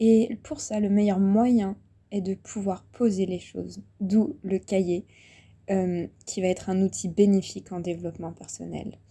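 Somewhat breathy and dark, mellow in tone, a woman speaks at a fairly slow pace with fairly even intonation. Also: medium pitch for a woman. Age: 20s. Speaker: spiritual coach and podcaster. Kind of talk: guided reflection monologue. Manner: hesitant, many fillers.

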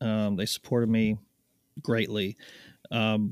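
In a very clean recording with a silent background and a dry, close sound with no echo, a man with a normal speaking voice talks at a moderate pace in a medium pitch. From Canada, Ottawa area. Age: 40s. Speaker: golf glove company co-founder, former pro golfer. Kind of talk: casual chat.

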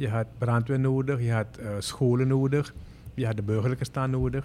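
Using a plain, everyday voice, a man speaks at medium pitch and a moderate pace with fairly even intonation. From Suriname (Moengo). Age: 50s. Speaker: airline pilot. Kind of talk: interview.

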